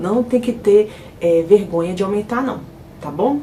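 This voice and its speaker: A woman speaks at a medium pitch with ordinary pitch variation. There is noticeable background noise. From Brazil, Minas Gerais (Ribeirão das Neves). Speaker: house cleaner and vlogger. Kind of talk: casual vlog talk to viewers.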